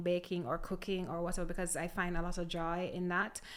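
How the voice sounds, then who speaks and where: A woman at medium pitch, speaking at a fairly quick pace in a monotone, flat intonation, with audible room echo. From Jamaica (Manchester parish, then Kingston). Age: 30s. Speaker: drinks company founder. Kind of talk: casual interview.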